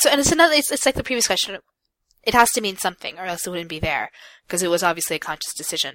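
A woman talks very fast with very wide pitch swings and a bright, sharp tone, on a very clean recording with a silent background. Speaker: podcast co-host. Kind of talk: casual chat. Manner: stumbles when reading aloud.

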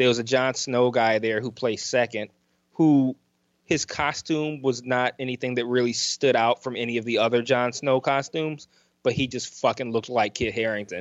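Against a quiet background, a man with an American accent uses an ordinary speaking voice at a medium pitch, with fairly even intonation and a moderate pace. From Detroit, US Midwest. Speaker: podcaster, fan convention attendee. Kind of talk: casual interview chat.

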